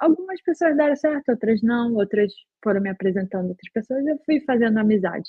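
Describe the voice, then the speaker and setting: A high-pitched woman at a moderate pace with lively intonation. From Brazil, Belém do Pará. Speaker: software QA engineer. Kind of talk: casual interview.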